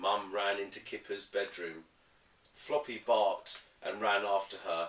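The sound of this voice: With audible room echo, a man talks at a fairly low pitch and fairly slow pace, his tone fairly bright and his intonation fairly even.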